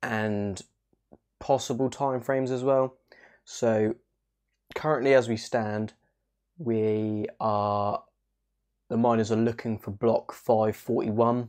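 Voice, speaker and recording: A man's medium-pitched voice at a very slow pace, flat and monotone, with long, frequent pauses against a quiet background. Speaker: crypto YouTuber. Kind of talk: casual video update. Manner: hushed, quiet.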